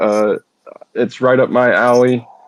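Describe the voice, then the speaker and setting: A man with an American accent speaks at a fairly slow pace. The sound is dry and close, with no echo. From Carolinas, US South. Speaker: audience participant. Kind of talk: casual chat. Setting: online audio space.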